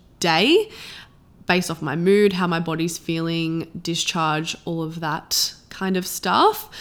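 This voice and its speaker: A woman with an Australian accent speaks at a fairly slow pace and a fairly low pitch. The recording is very clean, its background silent. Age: 20s. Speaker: podcast host and coach. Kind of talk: solo podcast monologue. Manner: casual, chatty.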